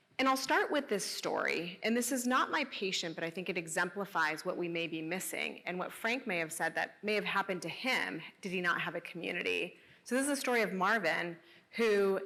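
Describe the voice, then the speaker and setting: A woman speaks at a moderate pace. Her pitch sits in the middle range. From US, Spanish-speaking immigrant family. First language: Spanish. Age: 40s. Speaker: geriatrician. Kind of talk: panel conversation. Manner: halting.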